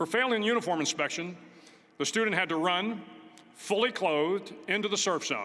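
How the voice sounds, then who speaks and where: In a raised, projected voice with a bright, sharp tone, a man speaks at a high pitch and a fairly quick pace, with very even loudness and ordinary pitch variation. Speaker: retired admiral giving a university commencement speech. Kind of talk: commencement speech. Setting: auditorium with live audience, PA system.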